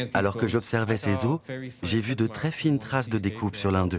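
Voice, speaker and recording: Music plays in the background. A man with a fairly low pitch and ordinary pitch variation speaks at a fairly slow pace. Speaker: voice actor. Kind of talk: documentary voice-over.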